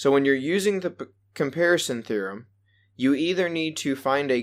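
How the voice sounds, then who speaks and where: A plain, everyday voice comes at a moderate pace with lively intonation. The recording is very clean, with a silent background. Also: man. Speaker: math teacher. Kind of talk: lecture. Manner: casual, conversational.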